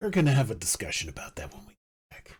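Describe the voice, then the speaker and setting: A raspy put-on character voice sits at a low-to-middle pitch. It rushes along at a very fast pace. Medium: actual play. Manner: earnest, literal, slightly awkward.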